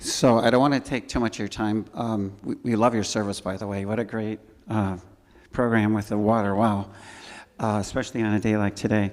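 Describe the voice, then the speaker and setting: A man with an American accent speaks in a flat monotone at a fairly low pitch, in a very clean recording with a silent background. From Chicago north suburbs, Illinois. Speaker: church scholarship volunteer. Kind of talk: informal presentation to congregation. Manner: halting, many fillers and restarts.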